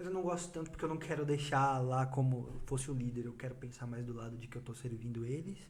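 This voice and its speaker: A man talks at a very fast pace, medium in pitch with ordinary pitch variation. There is audible room echo and noticeable background noise. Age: 20s. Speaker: church youth leader. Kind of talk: casual chat.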